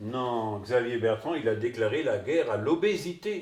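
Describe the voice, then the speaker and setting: Lively intonation runs through this fairly slow delivery in a northern French accent. Background noise is noticeable. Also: man. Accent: northern French Ch'ti. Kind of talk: comic sketch dialogue.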